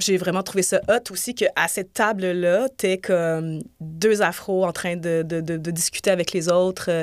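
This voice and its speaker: In a normal speaking voice, a woman at medium pitch talks at a fairly slow pace with fairly even intonation and hardly any pauses, the sound dry and close with no echo. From grew up on three continents. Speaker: TV director. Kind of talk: casual chat. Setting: studio.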